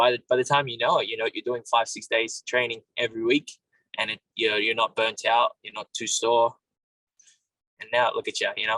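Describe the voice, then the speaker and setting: A man's fairly quick speech with a dry, close sound and no echo. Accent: Australian. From Australia, Sydney. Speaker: MMA fighter. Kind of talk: interview.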